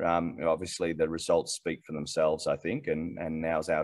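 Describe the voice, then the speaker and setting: A man with an Australian accent, very deep and low in pitch, at a fairly quick pace. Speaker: mining company executive. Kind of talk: interview. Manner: halting, many repeated words.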